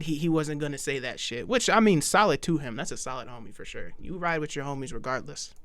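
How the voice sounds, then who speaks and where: With audible room echo, a man with a fairly high voice rattles along at a very fast pace with hardly any pauses, lively intonation and big swings in loudness. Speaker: YouTube reaction streamer. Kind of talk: reaction commentary. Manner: stutter; animated.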